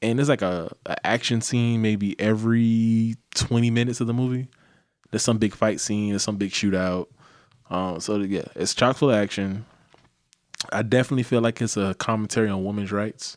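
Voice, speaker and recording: Speaking in a plain, everyday voice, a man keeps a fairly quick pace, a medium pitch and fairly even intonation. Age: 20s. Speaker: podcast co-host. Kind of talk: casual chat. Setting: studio.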